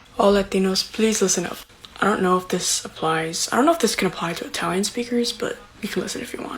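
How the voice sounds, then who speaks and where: Over noticeable background noise, a woman at medium pitch speaks very fast with lively intonation and big swings in loudness. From Brazilian family. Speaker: social media user. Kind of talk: casual social media clip. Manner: chatty, lots of filler words.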